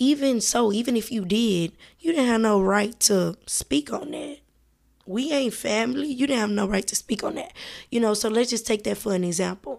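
A woman with an American accent and a fairly high pitch uses lively intonation in a plain, everyday voice, recorded very cleanly over a silent background. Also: moderate pace. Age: 20s. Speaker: podcast host, college student. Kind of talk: casual monologue. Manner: casual, many filler words.

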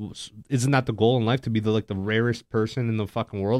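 Talking at a very fast pace with fairly even intonation, a man is heard in a very clean recording with a silent background and a dry, close sound with no echo. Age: 20s. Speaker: podcast co-host. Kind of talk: casual chat. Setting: live stream.

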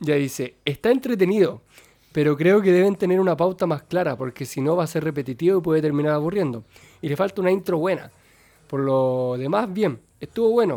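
With a Chilean accent, a man speaks at a fairly quick pace. His tone is dark and mellow, and his intonation is lively. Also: fairly high pitch for a man. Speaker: podcast host. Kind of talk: casual chat.

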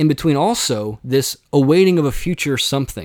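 A man with an unremarkable speaking voice and a fairly high pitch speaks at a moderate pace on a very clean recording with a silent background. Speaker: philosophy podcast host. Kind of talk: solo Q&A monologue.

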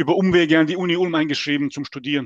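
Talking at a fairly quick clip, a man with a fairly high pitch keeps his intonation fairly even, heard in a dry, close recording with no echo. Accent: strong non-native. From Bosnia and Herzegovina, Mostar. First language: Serbo-Croatian (speaking German). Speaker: gaming league player. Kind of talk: podcast interview.

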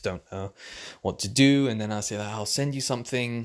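Speaking with a British accent, a man keeps a relaxed tone at a fairly quick pace. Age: 20s. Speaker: podcaster. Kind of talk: casual monologue. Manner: relaxed, frequent fillers and laughs.

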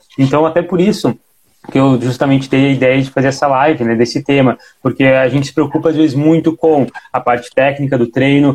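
Here is a man with a plain, everyday voice, speaking at a medium pitch and a fairly quick pace. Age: 20s. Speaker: podcast co-host and personal trainer. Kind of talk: casual chat. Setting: live stream on Instagram.

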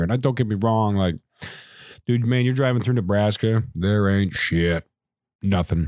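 In a very clean recording with a silent background and a dry, close sound with no echo, a man with an unremarkable speaking voice speaks at a moderate pace, fairly low in pitch with ordinary pitch variation. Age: 20s. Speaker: podcast host. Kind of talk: casual monologue. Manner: casual, profane.

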